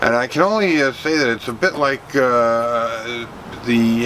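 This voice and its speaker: Medium-pitched man's voice with ordinary pitch variation and noticeable background noise. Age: 60s. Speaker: vlogger. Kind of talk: casual video vlog. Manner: halting, many fillers.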